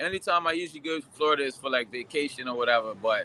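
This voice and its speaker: A man with a fairly high pitch talks at a very fast pace with ordinary pitch variation. Noticeable background noise is present. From Bermuda, raised partly in Dominican Republic. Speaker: interviewee. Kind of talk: interview. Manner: casual, animated storytelling.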